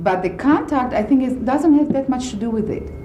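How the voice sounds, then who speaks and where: A woman with a non-native accent speaks amid noticeable background noise and audible room echo. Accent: foreign accent, self-described funny. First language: not English. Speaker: concert pianist. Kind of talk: radio interview. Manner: halting, with many fillers.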